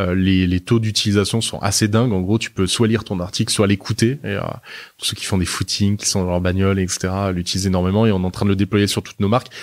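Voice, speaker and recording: Speaking very fast with hardly any pauses, a man keeps his fairly low voice in a monotone, flat intonation. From southern France, Nice. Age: 30s. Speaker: media group executive. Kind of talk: interview. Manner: hesitant, many fillers.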